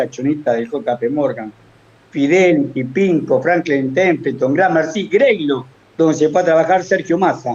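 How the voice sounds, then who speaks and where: A man talks with very wide pitch swings. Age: 70s. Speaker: economic analyst, former finance worker. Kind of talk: political-economic commentary on talk show. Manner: animated.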